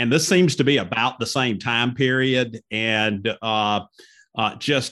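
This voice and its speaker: At a fairly slow pace, the speaker talks with a Southern US accent. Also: man. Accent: Southern American. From US South, northwest Georgia (Cedartown). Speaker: lawyer, podcast co-host. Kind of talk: casual interview chat. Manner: halting, many fillers.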